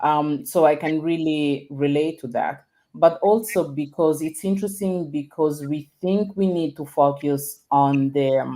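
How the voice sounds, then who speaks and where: A woman with a non-native accent speaks at a fairly slow pace in a very deep, low pitch, with ordinary pitch variation, hardly any pauses, and a very clean recording against a silent background. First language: not English. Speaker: storytelling and leadership coach. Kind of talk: casual interview conversation. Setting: live video stream.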